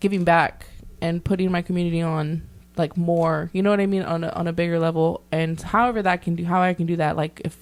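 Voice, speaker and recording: Speaking very fast, a woman uses a fairly low voice. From South Texas, Corpus Christi. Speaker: law student, podcast host. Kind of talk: casual chat. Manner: animated.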